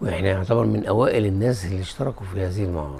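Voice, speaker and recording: Over noticeable background noise, a man speaks in a very deep, low pitch with lively intonation. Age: 70s. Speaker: publisher, retired army engineer. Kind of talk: interview testimony. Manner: halting with repeated false starts.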